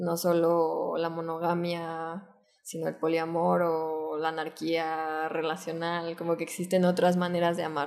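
Her fairly low-pitched voice moves at a fairly slow pace, and this woman keeps a monotone, flat intonation. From Mexico City. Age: 20s. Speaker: filmmaker and photographer. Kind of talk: casual interview.

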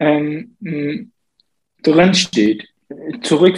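A man is talking. The pitch sits fairly high. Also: dry, close sound with no echo. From Saxony, Germany (born in Iraq). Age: 20s. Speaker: member of parliament, civil engineer. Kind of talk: interview. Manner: hesitant, many fillers.

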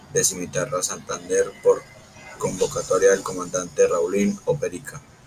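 There is noticeable background noise. A man speaks over it. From Colombia, Antioquia (Puerto Berrío). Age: 50s. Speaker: former paramilitary commander. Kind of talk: testimony. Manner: halting.

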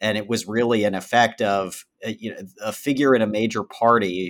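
A man's unremarkable speaking voice, fairly low in pitch with fairly even intonation, dry and close with no echo, on a very clean recording with a silent background. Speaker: podcast co-host interviewer. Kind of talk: interview.

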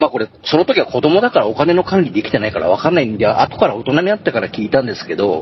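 Amid noticeable background noise, a man with a fairly high voice speaks at a very fast pace, his pitch swinging very widely. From Tohoku, Japan. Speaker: ghost story teller and truck driver. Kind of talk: storytelling. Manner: laughs often.

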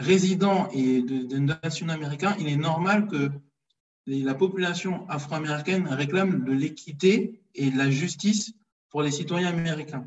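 Here a man has an unremarkable speaking voice at a fairly high pitch. His pace is fairly slow, with ordinary pitch variation. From France (Paris), Congolese heritage. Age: 30s. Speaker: history page creator, financial controller. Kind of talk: casual interview.

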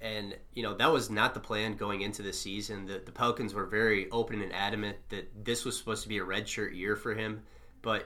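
A man speaks at a very fast pace in a bright, sharp tone. Audible room echo surrounds his voice. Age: 20s. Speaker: sports beat writer, podcast host. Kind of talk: casual chat.

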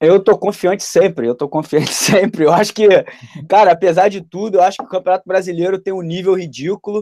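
A man talks with a high pitch and a dark, mellow tone. The sound is dry and close, with no echo. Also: ordinary pitch variation, fairly quick pace. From Niterói, Rio de Janeiro, Brazil. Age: 30s. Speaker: YouTube football news channel host. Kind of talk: casual chat.

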